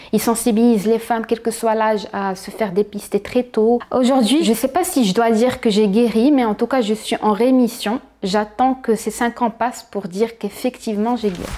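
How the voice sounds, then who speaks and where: Her fairly high pitch set in a dark, mellow tone, a woman speaks at a moderate pace with hardly any pauses. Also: fairly even intonation. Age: 30s. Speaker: cancer survivor. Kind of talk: testimony.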